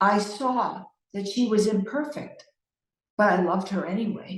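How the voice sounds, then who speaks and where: A woman talks at a moderate pace and a medium pitch. Her voice is somewhat breathy. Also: ordinary pitch variation. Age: 60s. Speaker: leadership consultant and speaker. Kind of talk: keynote talk.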